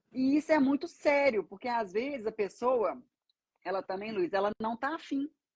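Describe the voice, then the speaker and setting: With lively intonation, a woman speaks at a high pitch in a dry, close sound with no echo. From Brazil, Minas Gerais (Belo Horizonte). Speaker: banker and financial mentor. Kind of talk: casual live-stream interview.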